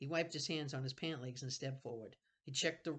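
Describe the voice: Someone is doing plain reading aloud here.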